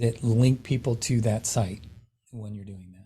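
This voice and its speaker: A man speaks at a fairly slow pace, his somewhat breathy voice dark and mellow in tone. The recording is very clean with a silent background. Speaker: real estate tech trainer. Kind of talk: lecture.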